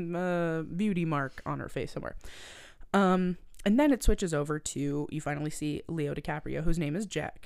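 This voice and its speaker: On a very clean recording with a silent background, a woman with a Canadian Maritime accent talks at a moderate pace, fairly low in pitch with ordinary variation. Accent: Canadian Maritimes. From Nova Scotia, Canada. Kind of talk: casual chat.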